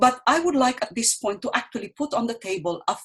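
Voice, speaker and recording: A woman with a Filipino accent talks at a fairly quick pace in a somewhat breathy voice, her pitch swinging very widely. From Philippines, Bicol region. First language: Bicol. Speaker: poet. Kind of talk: panel discussion. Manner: halting, with repetitions.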